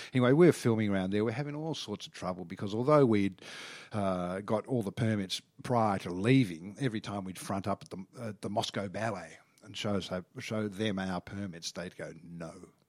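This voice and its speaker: On a very clean recording with a silent background, a man with an Australian accent speaks at a fairly low pitch and a fairly quick pace, using ordinary pitch variation. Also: big swings in loudness. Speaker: TV travel reporter and presenter. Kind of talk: casual interview.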